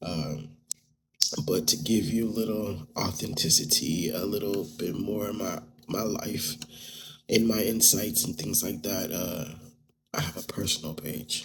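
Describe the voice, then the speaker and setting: A man's very deep, low, somewhat breathy voice, with ordinary pitch variation, a fairly slow pace and long, frequent pauses. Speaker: podcast host and artist studio founder. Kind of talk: casual vlog-style podcast monologue. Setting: his art studio. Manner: casual with many filler words.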